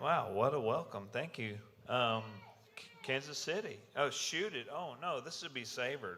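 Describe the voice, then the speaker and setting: This man has a Southern US accent and a fairly high pitch, with lively intonation at a moderate pace. Audible room echo surrounds his voice. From US South, Mississippi. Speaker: security conference speaker, electrical engineer. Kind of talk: conference talk intro.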